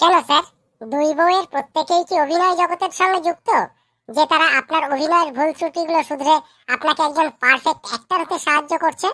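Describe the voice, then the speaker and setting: A squeaky, cartoonish character voice at a high pitch. It moves at a fairly quick pace. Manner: deferential, eager.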